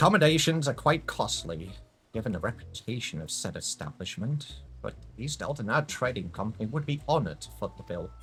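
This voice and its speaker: A put-on character voice, nasal and at a fairly quick pace. Pitch swings very wide and loudness swings big. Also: man, medium pitch for a man. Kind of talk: formal, courtly.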